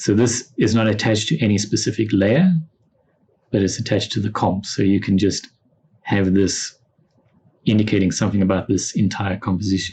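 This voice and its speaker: A man talks fairly quickly in a fairly low, somewhat breathy voice, with fairly even intonation, very even loudness, and long, frequent pauses. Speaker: software instructor. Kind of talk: tutorial. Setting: classroom lesson with students.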